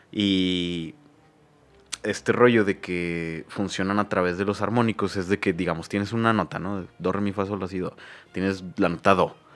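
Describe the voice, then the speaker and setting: A man's very deep, low-pitched voice with fairly even intonation. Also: fairly slow pace. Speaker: podcast host and musician. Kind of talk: casual chat.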